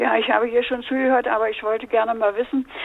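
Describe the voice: A woman's vocal fry at a fairly quick pace, with little pitch movement. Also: fairly high pitch for a woman.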